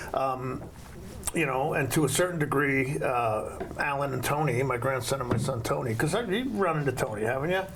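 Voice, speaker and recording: A man with a medium-pitched voice speaks at a fairly quick pace with ordinary pitch variation and very even loudness, with audible room echo and noticeable background noise. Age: 70s. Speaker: talk show host. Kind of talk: casual interview. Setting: TV studio.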